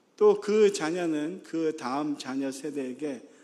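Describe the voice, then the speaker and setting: A man's fairly high voice at a very slow pace, with audible room echo. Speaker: pastor. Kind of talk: sermon. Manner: many filler sounds, halting.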